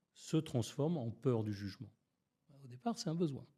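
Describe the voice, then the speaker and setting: A man speaks at a fairly slow pace in a fairly high pitch, with a dark, mellow, somewhat breathy tone and very wide pitch swings, on a very clean recording with a silent background. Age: 60s. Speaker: public speaking coach. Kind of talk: podcast interview.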